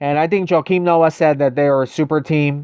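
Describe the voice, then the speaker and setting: Someone talks at a moderate pace on a very clean recording with a silent background. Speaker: gaming live streamer. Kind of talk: live stream chat. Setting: live stream. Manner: hesitant, many fillers.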